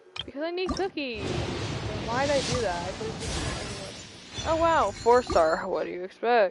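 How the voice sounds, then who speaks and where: Over background music, a woman speaks loudly at a very slow pace and high pitch, with very wide pitch swings and hardly any pauses. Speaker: gaming streamer. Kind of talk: casual gaming livestream chat. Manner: animated. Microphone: poor mic, close to face, breath pops.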